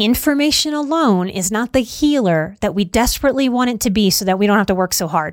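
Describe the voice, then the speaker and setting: On a very clean recording with a silent background, a woman uses a plain, everyday voice with lively intonation at a fairly quick pace. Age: 40s. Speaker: podcast host, life coach and psychotherapist. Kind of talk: solo podcast monologue; course promotion.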